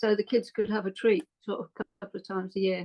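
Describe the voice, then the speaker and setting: A woman talks in an English Midlands accent. Her pace is moderate and her intonation fairly even. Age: 70s. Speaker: podcast guest. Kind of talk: casual interview chat.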